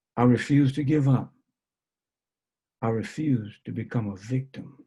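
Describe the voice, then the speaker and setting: A man speaks at a fairly slow pace with a medium pitch and ordinary pitch variation. His tone is dark and mellow, and somewhat breathy. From New Orleans, Louisiana. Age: 70s. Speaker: basketball coach. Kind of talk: interview answer on video call. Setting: video call.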